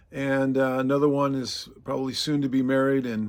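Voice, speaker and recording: The speaker has an American accent and talks at a moderate pace. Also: man. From Oregon, US Pacific Northwest. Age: 60s. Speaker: arborist and faith-based prepping channel host. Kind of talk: casual talk to camera. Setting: outdoors in front of his truck. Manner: hesitant, many fillers.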